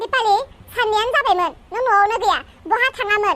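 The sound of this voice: A woman's cartoonish character voice, extremely high in pitch, at a fairly slow pace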